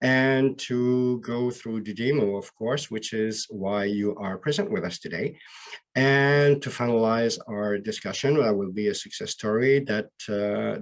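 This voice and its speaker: A man speaks with a Quebec accent at a fairly slow pace. His voice sits at a medium pitch and rises and falls in an ordinary way. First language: French. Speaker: BI solution architect. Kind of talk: webinar presentation. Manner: halting.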